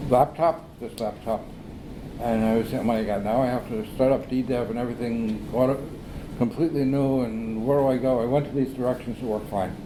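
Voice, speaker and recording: Against noticeable background noise and audible room echo, a man with a medium pitch speaks at a fairly quick pace with fairly even intonation. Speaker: software developer. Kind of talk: conference talk. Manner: fast.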